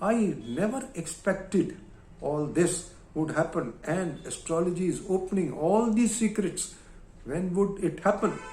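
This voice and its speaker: A man with a high pitch and lively intonation, fairly slow in pace, with audible room echo. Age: 70s. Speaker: astrologer. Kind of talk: monologue. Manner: halting.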